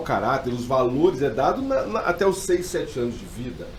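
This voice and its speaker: A man talks at a moderate pace with a fairly high pitch and lively intonation. Background noise is noticeable and the room echo audible. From Brazil, mixed regions. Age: 40s. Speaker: pastor. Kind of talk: podcast interview.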